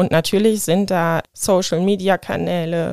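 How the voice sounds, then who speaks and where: A woman's fairly low voice comes through in a monotone, flat way, with a very clean, silent background and a dry, close sound with no echo. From Germany, Rhineland-Palatinate (Hahn). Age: 30s. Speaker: AIDS counselor and nurse. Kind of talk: interview.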